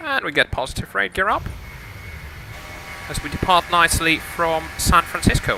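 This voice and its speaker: A man with a high pitch and lively intonation speaks with long, frequent pauses. Noticeable background noise runs underneath. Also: moderate pace. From Lithuania. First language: Lithuanian. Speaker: flight sim streamer. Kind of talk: live stream commentary. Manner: hesitant, many fillers.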